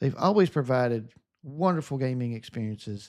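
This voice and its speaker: A man with a Southern US accent at a moderate pace, with very wide pitch swings, in a very clean recording with a silent background. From US South. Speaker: gaming streamer. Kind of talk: live stream chat. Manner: upbeat, positive energy.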